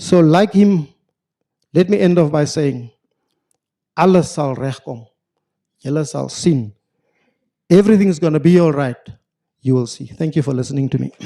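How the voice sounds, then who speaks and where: A man with a South African accent speaks at a moderate pace in a fairly high pitch, his tone dark and mellow, his pitch varying in an ordinary way, with long, frequent pauses. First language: Afrikaans. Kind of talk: formal lecture. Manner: formal, with hesitations.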